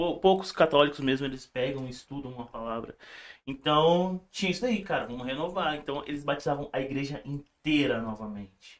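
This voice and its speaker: A man speaks at a moderate pace with a fairly high pitch. His pitch variation is ordinary, and it is a normal speaking voice. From Brazil, moved from Paraíba as a baby. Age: 30s. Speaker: church musician. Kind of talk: casual chat.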